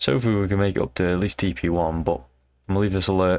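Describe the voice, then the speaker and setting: Soft-spoken and in a British accent, the speaker goes at a very fast pace. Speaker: amateur trader. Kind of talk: casual trading vlog. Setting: at home, in bed late at night. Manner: casual, hesitant with fillers; quiet, talking softly late at night.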